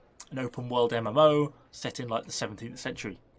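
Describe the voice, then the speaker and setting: A man speaks with a British accent and ordinary pitch variation. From UK. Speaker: gaming YouTuber. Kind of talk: casual Q&A to camera. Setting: home shed.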